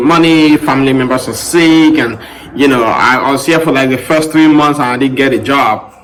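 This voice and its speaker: In a room with audible echo and noticeable background noise, a man with a fairly high pitch speaks at a moderate pace and with fairly even intonation. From Cameroon. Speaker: podcast host. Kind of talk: personal story monologue. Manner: casual, with many fillers.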